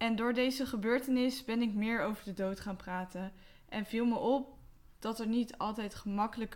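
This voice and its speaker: A woman's fairly high voice, fairly slow and with fairly even intonation. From Westland, South Holland, Netherlands. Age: 20s. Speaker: podcast host. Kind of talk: solo podcast monologue. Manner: hesitant with fillers.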